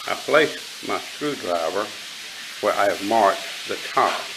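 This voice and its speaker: Background noise is noticeable in this clip. The voice is a man's. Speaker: bushcraft tutorial maker. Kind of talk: tutorial. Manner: slow.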